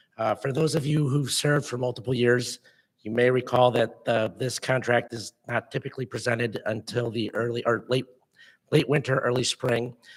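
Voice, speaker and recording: A man speaks at a moderate pace and medium pitch. His voice is somewhat breathy, with monotone, flat intonation. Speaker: park district staff presenter. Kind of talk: public meeting presentation. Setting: board meeting. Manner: formal.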